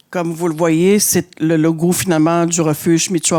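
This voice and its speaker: At a fairly slow pace, a woman speaks in a very deep, low voice. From Innu community, Côte-Nord, Quebec. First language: Innu-aimun (speaking French). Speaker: shelter director. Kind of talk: conference talk. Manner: hesitant, many fillers.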